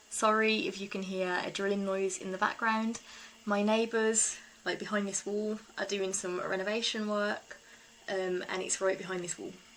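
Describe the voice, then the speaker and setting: This woman speaks with a British accent at a medium pitch, her intonation monotone and flat. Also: moderate pace. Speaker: eco-living vlogger. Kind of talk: casual vlog talk.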